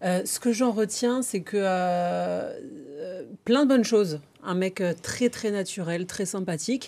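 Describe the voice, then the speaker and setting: Dark, mellow tone from a woman, with ordinary pitch variation. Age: 30s. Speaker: TV presenter. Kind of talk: casual chat.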